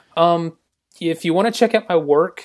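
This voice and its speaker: With an American accent, a man talks on a very clean recording where the background is silent. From US South, Georgia. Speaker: graphic designer. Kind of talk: casual interview chat.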